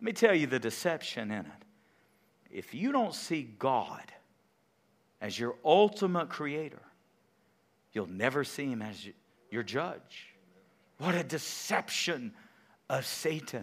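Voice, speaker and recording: On a very clean recording with a silent background, a man with an animated tone and vocal fry speaks at a fairly slow pace in a fairly high pitch, his pitch swinging very widely between long, frequent pauses. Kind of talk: sermon. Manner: animated, exhorting, call-and-response with the congregation; emphatic, pulpit-style delivery with repetitions and self-corrections.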